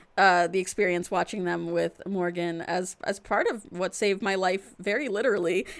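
Over noticeable background noise, a woman with a medium pitch talks at a moderate pace with fairly even intonation and hardly any pauses. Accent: American. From Florida. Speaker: film podcast co-host. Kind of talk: casual chat.

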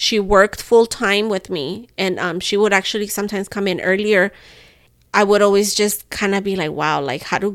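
Animated in tone, a woman speaks at a fairly quick pace in a very clean recording with a silent background. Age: 30s. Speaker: podcast co-host, stay-at-home mom. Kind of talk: casual chat.

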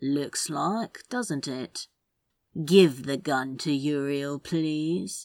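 In a very clean recording with a silent background, a female-sounding voice does a put-on character voice at a low-to-middle pitch and a very slow pace. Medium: read story. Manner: calm, cold.

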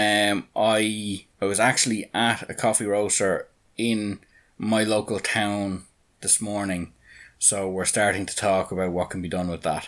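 In a quiet background, a man with an Irish accent speaks at a fairly slow pace, his pitch fairly low. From Ireland. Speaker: NFT project founder and businessman. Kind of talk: podcast interview.

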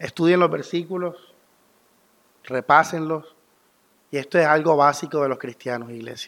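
Speaking at a moderate pace, a man uses a fairly high pitch with ordinary pitch variation and long, frequent pauses. The recording is very clean, with a silent background. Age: 30s. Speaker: pastor. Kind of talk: sermon.

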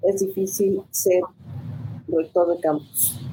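Her tone is dark and mellow, somewhat breathy. The woman speaks at a very slow pace. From Mexico, city of Guanajuato. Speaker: university professor and rector candidate. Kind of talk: panel discussion.

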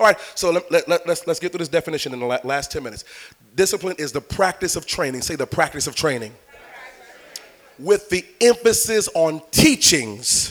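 A man speaks at a moderate pace, his pitch high for a man and his intonation lively. The tone is playful and animated, with big swings in loudness over noticeable background noise. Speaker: preacher. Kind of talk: sermon. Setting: church with congregation. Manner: animated, rousing call-and-response, urging the congregation to shout back; conversational and playful, with repeated phrases and crowd-teasing asides.

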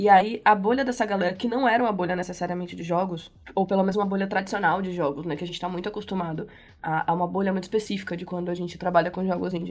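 Her pitch is medium. The woman talks at a very fast pace. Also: fairly even intonation. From Bahia, Brazil. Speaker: game developer. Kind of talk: casual interview.

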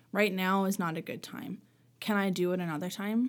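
A woman's medium-pitched voice in a Maritime Canadian accent, at a fairly quick pace with fairly even intonation, on a very clean recording with a silent background. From Nova Scotia, Canada (Halifax area). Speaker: teacher's aide. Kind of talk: casual chat.

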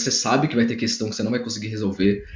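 A man's somewhat breathy voice. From interior of São Paulo state, Brazil. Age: 20s. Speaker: civil engineer and study coach. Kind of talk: casual interview. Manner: animated.

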